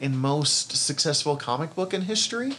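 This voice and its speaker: In a normal speaking voice, a man talks at a moderate pace with a fairly high pitch and lively intonation. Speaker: podcast host. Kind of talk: casual chat.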